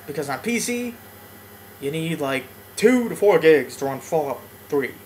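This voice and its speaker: The speaker's pitch swings very widely at a moderate pace, with noticeable background noise throughout. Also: man, fairly high pitch for a man. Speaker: gaming YouTuber. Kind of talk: let's play commentary. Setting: home apartment. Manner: quiet, low volume; rambling with fillers.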